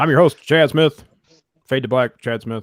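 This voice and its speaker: A man puts on a character voice at a medium pitch and talks at a middling speed. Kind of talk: announcer-style broadcast.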